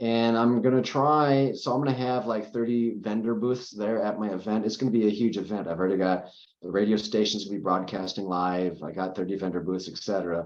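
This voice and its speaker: A man with a plain, everyday voice and a fairly low pitch talks at a fairly quick pace with hardly any pauses and ordinary pitch variation. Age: 50s. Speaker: cancer survivor and CBD advocate. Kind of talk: interview. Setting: podcast recording.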